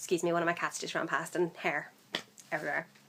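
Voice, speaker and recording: Very fast speech in a Northern Irish accent. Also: woman. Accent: Northern Irish, mild. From Northern Ireland. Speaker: vlogger. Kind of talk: casual vlog. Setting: home room, workmen outside. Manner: hesitant, many fillers.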